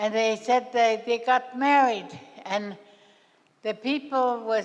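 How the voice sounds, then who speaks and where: A woman speaks at a very slow pace. Her pitch is fairly high and her intonation fairly even. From southern Yukon, Canada (Tagish). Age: 90s. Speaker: First Nations elder. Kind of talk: oral storytelling. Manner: halting.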